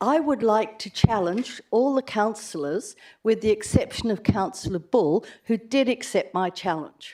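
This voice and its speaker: A woman with an Australian accent speaks at a fairly slow pace, her fairly high voice carrying a dark, mellow tone. Her intonation is lively, and the recording is very clean with a silent background. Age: 80s+. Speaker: resident making a deputation. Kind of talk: public deputation at council meeting.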